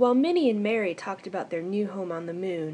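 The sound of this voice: The voice here is an unforced reading voice.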